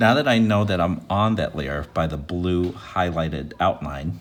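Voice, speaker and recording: A man with a very deep, low pitch and lively intonation at a fairly slow pace. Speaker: art teacher. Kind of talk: tutorial.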